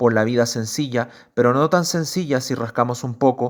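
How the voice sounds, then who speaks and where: In a very clean recording with a silent background, a man speaks at a moderate pace in an unremarkable speaking voice. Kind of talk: literary essay reading.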